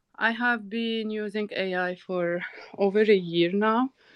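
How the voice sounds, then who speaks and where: A woman with a non-native accent speaks at a very slow pace in a fairly high pitch, her intonation fairly even. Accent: foreign. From Tunisia. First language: not English; English is third language. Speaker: entrepreneur, community founder. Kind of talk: casual chat. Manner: halting.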